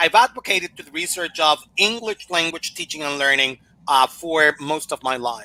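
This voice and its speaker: A man's fairly high voice with a Spanish accent, bright and sharp in tone, at a moderate pace, in a dry, close sound with no echo. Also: lively intonation. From Mexico. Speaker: language teaching consultant. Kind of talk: Q&A after a conference talk.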